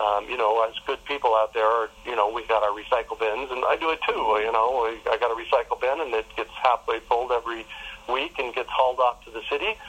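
Noticeable background noise sits behind the voice. A man speaks at a very fast pace. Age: 60s. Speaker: permaculture teacher and urban farmer. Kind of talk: interview. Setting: outdoors in a backyard.

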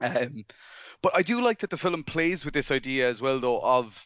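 At a moderate speed, a man talks with an Irish accent. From Ireland. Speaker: film director. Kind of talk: casual chat.

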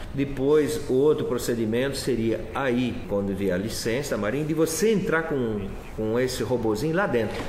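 Lively intonation at a moderate pace comes through with audible room echo and noticeable background noise. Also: man, medium pitch for a man. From Florianópolis, southern Brazil. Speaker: sailor and shipwreck explorer. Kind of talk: casual interview.

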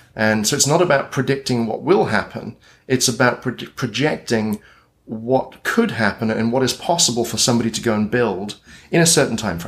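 A man with a British accent speaks at a fairly quick pace, his medium pitch showing ordinary variation in a very clean recording with a silent background. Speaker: futurist and consultant. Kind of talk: casual interview.

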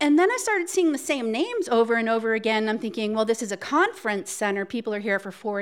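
On a very clean recording with a silent background, a woman with an American accent and an unremarkable speaking voice talks at a fairly quick pace and a fairly high pitch. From Cape Cod, Massachusetts. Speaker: storyteller. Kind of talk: live storytelling. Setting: stage with audience.

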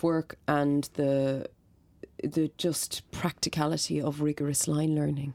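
In a Dublin accent, a woman speaks very slowly with a very deep, low pitch and a dark, mellow tone. Her intonation is monotone and flat, on a very clean recording with a silent background. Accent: Dublin Irish. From Ireland, north Dublin. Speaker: stage and film actor. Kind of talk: interview.

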